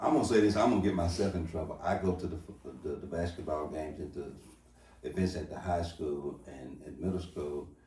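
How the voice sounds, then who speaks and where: A man's very deep, low voice at a fairly quick pace, with ordinary pitch variation, big swings in loudness, audible room echo and noticeable background noise. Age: 50s. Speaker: pastor and talk show host. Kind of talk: casual interview conversation.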